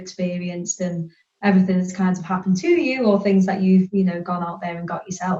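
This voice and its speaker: A woman at medium pitch, somewhat breathy, at a very fast pace. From northern England, near Liverpool. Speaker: career coach. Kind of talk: podcast interview. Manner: hesitant fillers (um, kind of).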